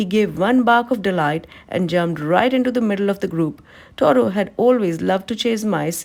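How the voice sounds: A natural reading voice moves along with lively intonation.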